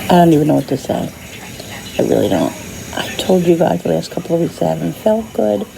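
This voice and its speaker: The speaker goes at a fairly quick pace but leaves long, frequent pauses. Noticeable background noise runs underneath. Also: woman. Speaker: vlogger. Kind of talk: casual vlog talk. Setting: hospital room. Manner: soft-spoken, lower than normal.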